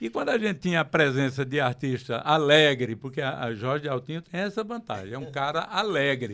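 A man with a fairly high pitch and a bright, sharp tone speaks at a moderate pace with lively intonation. He leaves hardly any pauses, and the background is quiet. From Pernambuco, Brazil. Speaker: record store owner; radio show host. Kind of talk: casual chat; interview conversation. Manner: halting. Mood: cheerful, nostalgic. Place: studio. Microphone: handheld.

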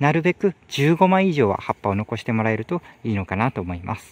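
The sound is dry with no echo as a man speaks with very wide pitch swings. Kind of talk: tutorial. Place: farm machine. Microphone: phone near.

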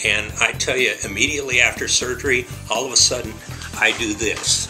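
Over clear music in the background, a man talks at a fairly quick pace. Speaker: bariatric surgery patient. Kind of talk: patient testimonial. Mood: positive, upbeat. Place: office. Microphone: webcam.

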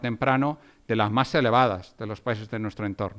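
A man's fairly even intonation over a quiet background. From Spain. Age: 40s. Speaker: economics professor. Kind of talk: lecture. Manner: halting, many fillers. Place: hall. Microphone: podium.

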